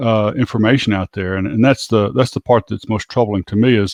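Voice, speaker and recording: Speaking with an American accent, a man of medium pitch talks at a fairly quick pace. His intonation is fairly even, and the sound is dry and close with no echo. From United States. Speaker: podcast co-host. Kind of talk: casual chat. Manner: halting, many fillers.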